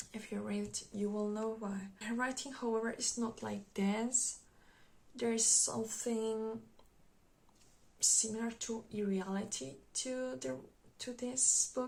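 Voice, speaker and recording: The voice is somewhat breathy and the pace fairly slow. Long, frequent pauses break up the speech. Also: woman, fairly high pitch for a woman, ordinary pitch variation. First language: Spanish. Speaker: book vlogger. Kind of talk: casual book review monologue. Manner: halting, many fillers.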